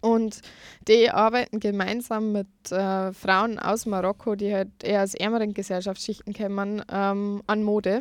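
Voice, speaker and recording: In a very clean recording with a silent background, a woman speaks monotone and flat at a fairly slow pace. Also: medium pitch for a woman. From Lower Bavaria, Germany. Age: 20s. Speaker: food blogger and student. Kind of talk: radio interview. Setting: studio.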